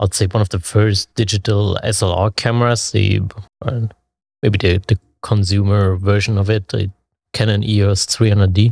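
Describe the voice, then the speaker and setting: In a German accent, a man with a fairly low pitch speaks in a monotone, somewhat breathy, at very even loudness, with a dry, close sound and no echo. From Leipzig, Germany. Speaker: photographer. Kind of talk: casual interview. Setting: on location at event. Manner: halting, many fillers.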